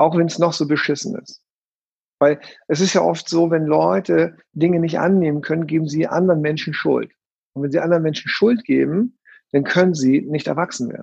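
A plain, everyday voice moves at a moderate pace. Its pitch varies in an ordinary way. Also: man, fairly high pitch for a man. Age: 50s. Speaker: NLP trainer. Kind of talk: casual chat; guided breathing exercise.

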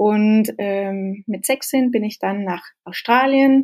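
On a very clean recording with nothing in the background, the pitch moves in an ordinary way. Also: woman. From Denmark, then rural Norway from age 12. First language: Danish (speaking German). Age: 30s. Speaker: social entrepreneur. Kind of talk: interview. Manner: halting, hesitant.

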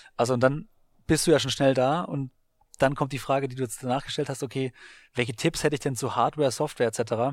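A man talks at a very fast pace and a medium pitch with fairly even intonation, in a very clean recording with a silent background. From Baden-Württemberg, Germany. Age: 30s. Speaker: sports marketing podcaster and entrepreneur. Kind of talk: interview. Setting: coworking space in Berlin.

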